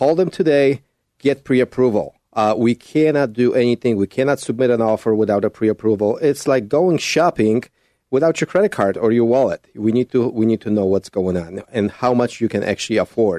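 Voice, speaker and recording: A man with a medium-pitched, dark, mellow voice talks at a fairly quick pace with ordinary pitch variation, recorded dry and close with no echo against a quiet background. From Poland. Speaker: realtor. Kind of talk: radio interview.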